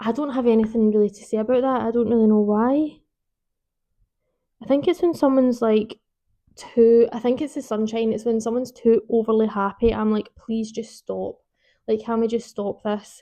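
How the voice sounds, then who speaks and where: Speaking with a Scottish accent, a woman has a fairly high pitch, a dark, mellow tone and fairly even intonation. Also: moderate pace, big swings in loudness. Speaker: book vlogger. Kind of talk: casual chat. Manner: rambling, informal.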